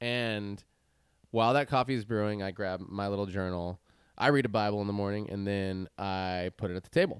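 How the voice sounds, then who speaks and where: Recorded very cleanly against a silent background with a dry, close sound and no echo, a man with an ordinary speaking voice talks at a fairly quick pace in a fairly low pitch with ordinary pitch variation. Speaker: podcast co-host. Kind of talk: casual chat. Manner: casual, upbeat.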